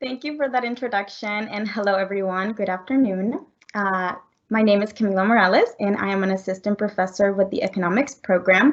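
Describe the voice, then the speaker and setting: The speaker has a Spanish accent. The pace is fairly quick. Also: woman, medium pitch for a woman, ordinary pitch variation. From Colombia. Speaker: economics professor. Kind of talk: research presentation.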